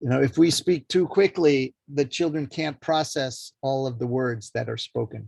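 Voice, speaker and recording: With an unremarkable speaking voice, a man talks at a moderate pace and medium pitch, with ordinary pitch variation, hardly any pauses, and a dry, close sound with no echo. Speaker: early childhood educator and teacher trainer. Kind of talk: lecture.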